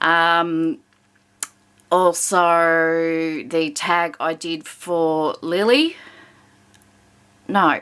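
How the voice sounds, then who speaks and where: Speaking very slowly with long, frequent pauses, a woman with an Australian accent uses a fairly low pitch. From Victoria, Australia. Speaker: colouring hobby vlogger. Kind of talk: casual chat. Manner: hesitant, many fillers.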